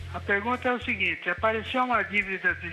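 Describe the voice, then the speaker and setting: Music plays in the background. Over it, a man speaks in a raised, projected voice. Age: 70s. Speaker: retiree caller. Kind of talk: phone-in question.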